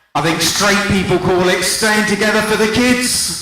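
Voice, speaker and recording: With an English accent, a man speaks at a moderate pace against noticeable background noise. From England, London. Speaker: stand-up comedian. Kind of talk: stand-up. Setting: stage with audience.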